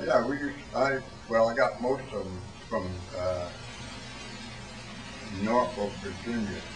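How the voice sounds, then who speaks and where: A man speaks at a medium pitch and a fairly slow pace. Long, frequent pauses break up his speech, and there is noticeable background noise. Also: ordinary pitch variation. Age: 80s+. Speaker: war veteran. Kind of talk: interview answer.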